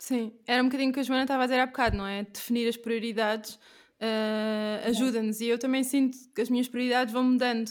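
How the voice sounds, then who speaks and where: A woman's fairly high, monotone, flat delivery at a very fast pace, on a very clean recording with a silent background. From Portugal. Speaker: podcast host. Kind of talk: podcast interview; scripted intro.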